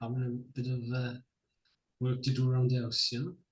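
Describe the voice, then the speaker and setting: A somewhat breathy man at medium pitch. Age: 70s. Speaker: retired clerk of works. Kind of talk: casual interview. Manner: halting.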